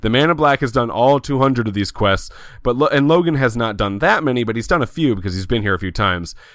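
A man speaks at a medium pitch in an unremarkable speaking voice. The recording is very clean, with a silent background. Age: 20s. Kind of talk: casual chat.

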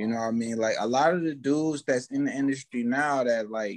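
This man speaks with an American accent. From Fort Myers, Florida. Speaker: rapper. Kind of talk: casual interview.

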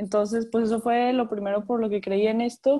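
Her dark, mellow tone comes with monotone, flat intonation as the woman speaks. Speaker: architecture student, social media manager. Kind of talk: casual chat.

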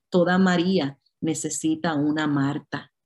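A woman's very deep, low voice in a Puerto Rican accent, with a dark, mellow tone and fairly even intonation. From Puerto Rico. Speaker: pastor and conference speaker. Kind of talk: sermon.

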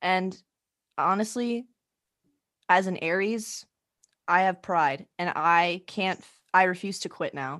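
Against a quiet background, a woman with an American accent talks very slowly at a medium pitch, leaving long, frequent pauses. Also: ordinary pitch variation. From Arizona. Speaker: co-host. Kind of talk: casual chat.

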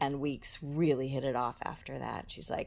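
Speaking at a moderate pace with an American accent, a woman is heard on a very clean recording with a silent background. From Boston area, US. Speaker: singer-songwriter. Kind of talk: casual interview chat.

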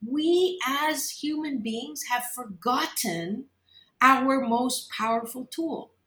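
Projecting a raised voice with a Canadian accent, a woman speaks in a high pitch with a bright, sharp tone and lively intonation. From Kitchener-Waterloo, Ontario, Canada. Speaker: organizational psychologist and talk radio host. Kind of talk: interview.

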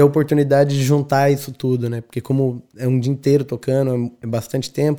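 Recorded very cleanly over a silent background, a man with a dark, mellow tone and a fairly high pitch speaks at a moderate pace in a monotone, flat way. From Brazil, São Paulo state interior (São José dos Campos). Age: 30s. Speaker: DJ. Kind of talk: casual interview chat.

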